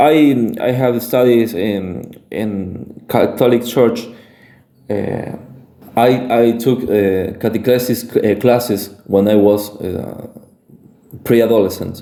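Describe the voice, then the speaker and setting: The speech is very slow, with fairly even intonation. Audible room echo fills the recording. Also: man, medium pitch for a man. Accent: Spanish. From Argentina, Santa Fe. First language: Spanish. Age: 20s. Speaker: independent researcher / content creator. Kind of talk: monologue presentation. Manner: halting, many fillers and restarts.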